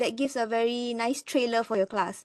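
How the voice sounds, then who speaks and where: A woman with a normal speaking voice talks at a moderate pace in a fairly high pitch, the sound dry and close with no echo over a quiet background. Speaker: lecturer. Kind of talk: presentation.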